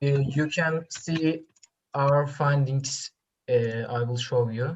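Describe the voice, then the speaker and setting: A woman with a non-native accent speaks at a very slow pace with fairly even intonation. Her voice is somewhat breathy and very deep and low in pitch. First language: not English. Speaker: student presenter at science forum. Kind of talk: q&a answer to jury. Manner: halting.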